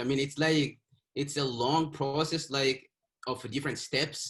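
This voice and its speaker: Somewhat breathy, a man speaks in a monotone with flat intonation. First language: not English (English is fifth language). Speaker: author. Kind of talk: interview. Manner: halting, with repeated words.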